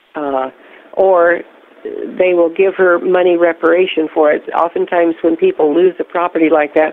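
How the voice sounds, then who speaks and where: A woman speaks at a moderate pace and a fairly low pitch, in a monotone, flat intonation with very even loudness. Noticeable background noise is present. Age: 70s. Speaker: whistleblower. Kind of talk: casual chat. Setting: phone call.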